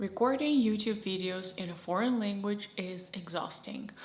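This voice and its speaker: Delivered at a moderate pace with ordinary pitch variation, the speech sits over noticeable background noise. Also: woman. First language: Russian. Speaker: YouTuber. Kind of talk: casual talk to camera.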